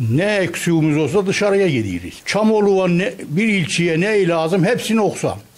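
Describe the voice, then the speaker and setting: This man speaks at a moderate pace with a high pitch. His pitch variation is ordinary. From Turkey. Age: 70s. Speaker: retiree. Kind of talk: street interview. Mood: complaining, animated. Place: shop. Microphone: handheld.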